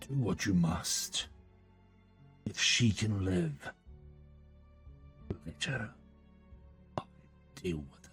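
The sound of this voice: Over clear background music, a man speaks very slowly in a put-on character voice with a very deep, low pitch, leaving long, frequent pauses.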